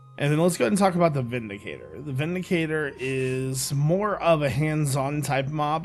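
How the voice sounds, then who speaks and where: Music plays in the background behind a man's voice. He speaks at a fairly high pitch with ordinary pitch variation. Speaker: gaming YouTuber. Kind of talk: casual talk to camera.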